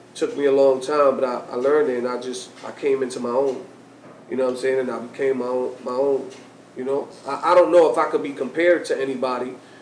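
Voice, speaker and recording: Over noticeable background noise and audible room echo, a man with an American accent speaks at a very fast pace. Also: medium pitch for a man. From New York, Lower East Side. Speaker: DJ and radio host. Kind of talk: interview conversation. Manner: loud; animated.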